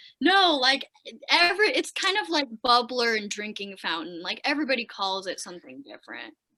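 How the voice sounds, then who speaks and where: A woman's high, bright, sharp voice with an American accent, very wide pitch swings and a fairly quick pace. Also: big swings in loudness. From Wisconsin, US Midwest. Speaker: actor and aspiring comedian. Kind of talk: casual chat.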